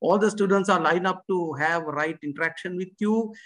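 A man's high voice at a moderate pace, with ordinary pitch variation over a quiet background. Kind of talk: welcome speech. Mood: polite and formal. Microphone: video call.

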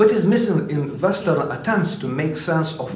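The voice has ordinary pitch variation. Light background noise and audible room echo can be heard. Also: man. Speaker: historian; conference panelist. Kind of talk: conference talk. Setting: stage with audience. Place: hall. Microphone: podium.

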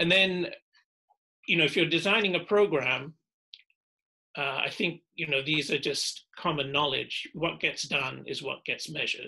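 Over a quiet background, a man with a British accent talks at a moderate pace with long, frequent pauses, his fairly high pitch bright and sharp in tone and his pitch variation ordinary. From UK. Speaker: volcanologist, professor; professor. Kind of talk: academic talk. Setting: video call. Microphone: video call.

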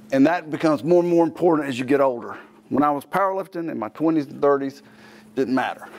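The speech races at a very fast pace with ordinary pitch variation. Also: man, fairly high pitch for a man. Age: 50s. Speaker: fitness trainer and TV host. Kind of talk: tutorial. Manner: casual, conversational. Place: gym. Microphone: lapel.

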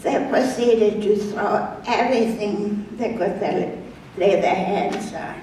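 Speaking very slowly with fairly even intonation, a woman is heard over light background noise and audible room echo. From Germany. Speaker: Holocaust survivor. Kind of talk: reading personal memoir to an audience. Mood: solemn, grave recollection. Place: church.

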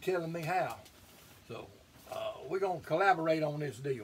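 A man's high voice at a fairly quick pace. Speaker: home cook vlogger. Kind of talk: casual vlog chat. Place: kitchen. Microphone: camera far.

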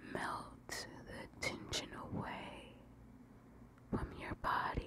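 Whispering, a woman goes at a very slow pace. Long pauses come often between her words. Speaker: ASMR creator. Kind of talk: ASMR guided sleep meditation. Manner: whispered; slow, repetitive. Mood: calm, soothing. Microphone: studio mic.

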